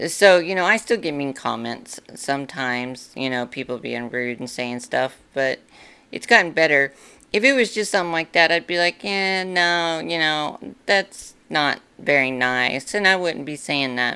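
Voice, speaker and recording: Speaking at a moderate pace with lively intonation, a woman has a very deep, low pitch and a raspy, bright, sharp tone, captured in a very clean recording with a silent background. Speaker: YouTuber. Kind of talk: casual commentary to camera. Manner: halting, filler-heavy.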